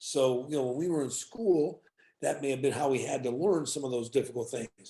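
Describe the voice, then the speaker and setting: Ordinary pitch variation marks this man's fairly high-pitched voice and dark, mellow tone. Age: 60s. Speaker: hospitality business professional. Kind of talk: podcast interview.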